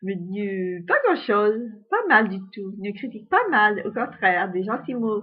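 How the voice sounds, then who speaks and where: The woman's pitch sits in the medium range. She speaks at a very slow pace. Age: 70s. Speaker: amateur singer. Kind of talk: casual monologue. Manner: halting.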